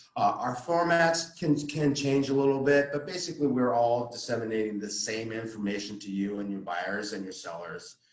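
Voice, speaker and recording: Noticeable background noise accompanies a man speaking at a medium pitch with lively intonation, big swings in loudness, and hardly any pauses. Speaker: title officer giving real estate training. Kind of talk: training presentation. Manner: fast-talking; halting, many fillers and repetitions.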